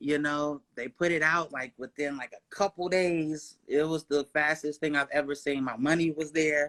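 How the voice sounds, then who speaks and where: In a dry, close sound with no echo, a man with a fairly high pitch and a bright, sharp tone speaks at a moderate pace with fairly even intonation and hardly any pauses. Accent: American. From Kentucky, US. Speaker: singer, songwriter and producer. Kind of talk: interview.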